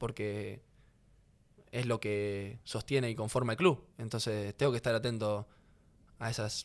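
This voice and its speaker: A man at a moderate pace over a quiet background. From Rosario, Argentina; Argentina. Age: 20s. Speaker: professional footballer; podcast guest. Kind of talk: casual interview conversation. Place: studio. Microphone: studio mic.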